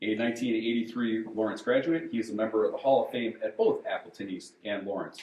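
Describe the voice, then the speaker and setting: Lively intonation marks this man's American accent. His pace is fairly quick. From Wisconsin (Menasha). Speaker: moderator, retired sports information director. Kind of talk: panel moderation introductions. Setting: event room with audience, no microphone. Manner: loud.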